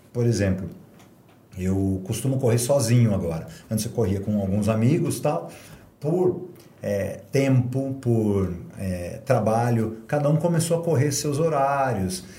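With audible room echo, a man speaks at a fairly slow pace and medium pitch, his tone dark, mellow and somewhat breathy, his intonation lively. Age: 50s. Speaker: martial arts and fitness instructor. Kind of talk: casual interview chat.

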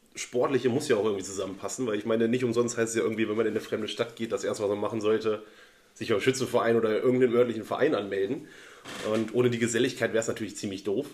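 A man talks very fast at a medium pitch. His intonation is monotone and flat. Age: 30s. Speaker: friend, former club shooter. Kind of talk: casual interview chat.

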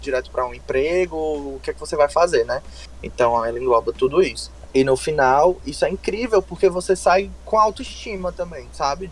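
A man talks at a moderate pace. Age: 20s. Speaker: nutritionist in career change. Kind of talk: interview.

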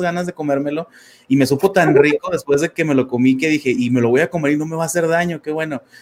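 A man's fairly high-pitched voice with ordinary pitch variation at a fairly quick pace. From Mexico, Torreón, Coahuila. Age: 30s. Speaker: life coach. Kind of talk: interview testimony. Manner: halting, many fillers.

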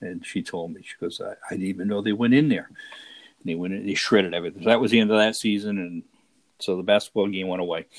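A man with an American accent speaks very fast in a fairly low voice. His intonation is fairly even, but his loudness swings widely. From Rhode Island, US. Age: 60s. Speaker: tabletop baseball league player. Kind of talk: interview.

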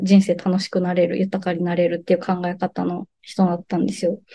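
A woman speaks in a dark, mellow tone. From Japan, Saga (Kyushu). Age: 30s. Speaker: sustainability consultant and doctoral student. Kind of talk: casual interview chat.

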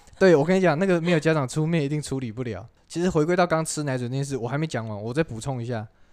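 With hardly any pauses, a man talks at a very fast pace in a fairly high pitch with ordinary pitch variation. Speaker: podcast host. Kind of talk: casual chat.

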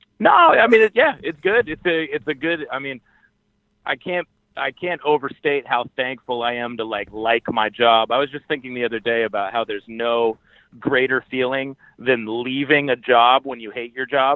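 An unremarkable speaking voice with an American accent, ordinary pitch variation, and a moderate pace. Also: man, medium pitch for a man. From Maine, US. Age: 30s. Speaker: rapper and podcaster. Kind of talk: interview.

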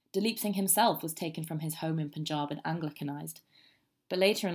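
A woman with a British accent speaks at a very fast pace, her pitch very deep and low. Her intonation stays fairly even, and the recording is very clean with a silent background. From England. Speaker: student history podcaster. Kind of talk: scripted narration.

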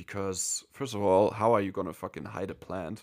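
A man with a German accent speaks in a very deep, low voice at a moderate pace. The recording is very clean, with a silent background. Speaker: podcast co-host. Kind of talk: casual chat.

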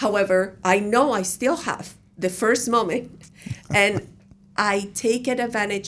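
A woman speaks with a Spanish accent at a medium pitch, her pitch varying in an ordinary way. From Colombia. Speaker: university professor. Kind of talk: interview. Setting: radio studio.

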